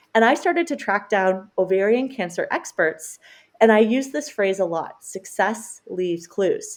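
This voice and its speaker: A woman with a Canadian accent speaks at a fairly slow pace and fairly high pitch, swinging very widely in pitch, on a very clean recording with a silent background. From Canada. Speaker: dietitian and cancer survivor. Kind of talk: podcast interview.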